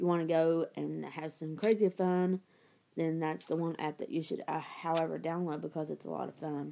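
In a dark, mellow tone, a woman speaks at a moderate pace with a very deep, low pitch and flat, monotone intonation. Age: 30s. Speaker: video podcast host. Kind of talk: casual chat.

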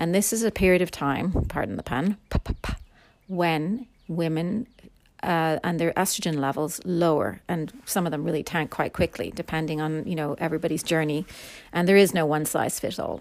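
A woman speaks at a fairly low pitch in an Irish accent. The recording is very clean, with a silent background. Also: ordinary pitch variation, moderate pace. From Ireland. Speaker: podcast host. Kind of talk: casual monologue. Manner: chatty.

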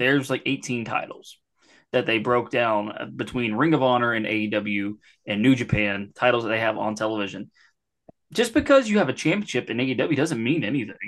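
A man with an unremarkable speaking voice talks at a fairly quick pace with ordinary pitch variation over a quiet background. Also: medium pitch for a man. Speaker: wrestling podcaster. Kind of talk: casual banter podcast with profanity.

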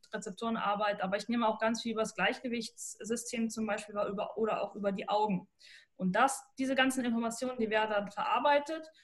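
This woman's voice is fairly high and somewhat breathy. She talks at a very fast pace with fairly even intonation. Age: 20s. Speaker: sports scientist and neuroathletics trainer. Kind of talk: podcast interview.

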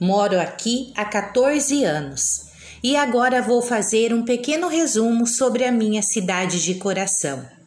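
Lively intonation at a fairly slow pace, with very even loudness and audible room echo. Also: woman, fairly high pitch for a woman. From Brazil, Paraná. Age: 40s. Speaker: teacher. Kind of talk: reading aloud. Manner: formal.

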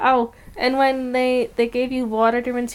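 A woman speaks in a Midwestern accent. Her pitch is fairly high and her pace moderate. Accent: American Midwest. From Michigan, US. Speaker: podcast co-host. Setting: living room at night.

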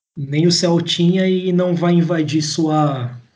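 Fairly even intonation, with audible room echo. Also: man. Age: 20s. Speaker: engineer and political activist podcaster. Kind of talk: casual political discussion.

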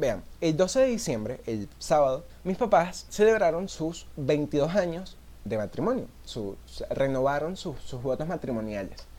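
A man with a Venezuelan accent talks at a fairly slow pace in a dark, mellow tone. His fairly high pitch moves in very wide swings. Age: 20s. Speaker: podcaster. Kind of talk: casual solo monologue.

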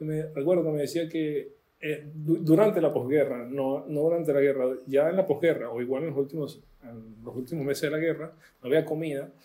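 A man's plain, everyday voice, fairly high in pitch, at a fairly quick pace, with fairly even intonation and big swings in loudness. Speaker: author. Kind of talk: casual chat. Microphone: poor quality audio.

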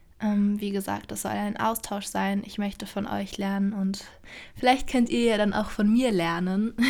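A woman speaks at a moderate pace with an ordinary speaking voice. Her medium pitch stays in fairly even intonation. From Germany, Berlin (Charlottenburg). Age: 20s. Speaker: podcaster, aspiring actress. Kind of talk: solo podcast introduction, casual monologue. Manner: casual with frequent fillers and laughter.

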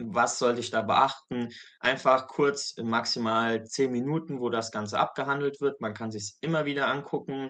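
At a moderate pace, a man talks in a normal speaking voice with a medium pitch and fairly even intonation. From Saarland, Germany. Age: 20s. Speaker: medical student. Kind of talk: testimony. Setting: video call.

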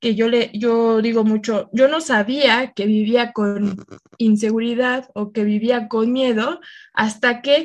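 The woman's voice is fairly high. She goes at a very slow pace. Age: 20s. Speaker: travel advisor, podcast co-host. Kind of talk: casual chat.

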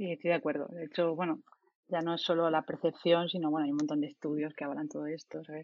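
Speaking at a very fast pace, the woman has a fairly low pitch. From Spain, Murcia. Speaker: software developer and team lead. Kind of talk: casual panel discussion.

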